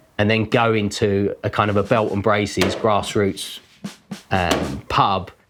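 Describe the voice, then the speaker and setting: A man speaks with a London accent at a fairly low pitch. Music plays in the background. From London (Deptford). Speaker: artist. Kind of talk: documentary interview. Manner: hesitant, filler-heavy.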